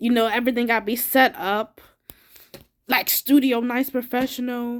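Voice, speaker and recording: An animated woman's voice at a fairly high pitch, on a very clean recording with a silent background. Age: 20s. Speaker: vlogger. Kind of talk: casual monologue.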